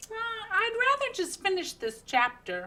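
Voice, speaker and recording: Using a put-on character voice, a woman sounds squeaky, with an extremely high pitch. Her pitch swings very wide at a moderate pace. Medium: read story. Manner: polite, mild.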